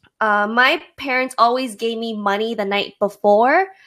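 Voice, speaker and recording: Speaking with an unremarkable speaking voice, a woman keeps a fairly high pitch and ordinary pitch variation. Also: very clean recording, silent background. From Toronto, Canada. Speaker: podcast co-host. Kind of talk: casual chat.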